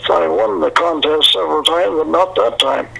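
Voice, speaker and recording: A man talks with a Canadian prairie accent. Noticeable background noise sits behind him. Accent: rural Canadian prairie. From Canada, Manitoba prairies. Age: 90s. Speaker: country songwriter and retired farmer. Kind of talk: interview.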